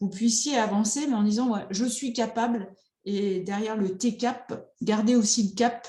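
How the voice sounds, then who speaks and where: A dark, mellow, somewhat breathy voice at a fairly slow pace, with ordinary pitch variation and audible room echo. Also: woman. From France, rural. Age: 50s. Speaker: psychotherapist. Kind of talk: online conference talk.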